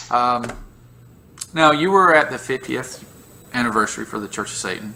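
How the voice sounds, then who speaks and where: Speaking with a Southern US accent, a man keeps a moderate pace and lively intonation, leaving long, frequent pauses. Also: big swings in loudness. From US South. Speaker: YouTube interview host. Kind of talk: casual interview.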